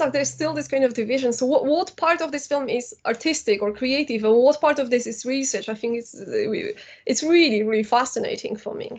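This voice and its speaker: With a Polish accent, a woman talks at a fairly quick pace in a high pitch, her intonation lively. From Poland. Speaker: academic and filmmaker. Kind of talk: lecture.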